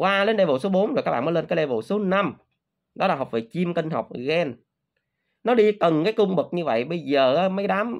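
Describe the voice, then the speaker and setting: The background is quiet. A man talks at a moderate pace with a high pitch. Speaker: crypto trading youtuber. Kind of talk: casual monologue to viewers. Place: home room. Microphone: phone near.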